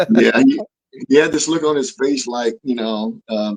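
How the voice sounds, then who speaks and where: A plain, everyday voice belongs to a man at a medium pitch. He keeps a moderate pace and ordinary pitch variation. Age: 60s. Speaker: martial artist. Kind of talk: interview answer.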